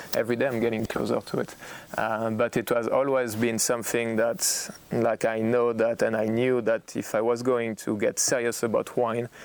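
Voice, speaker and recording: A man speaks at a moderate pace with a French accent and a medium pitch. His intonation is monotone and flat, and his loudness stays very even. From Burgundy, France. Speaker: winemaker. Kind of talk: oral history interview. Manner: halting, repeats words.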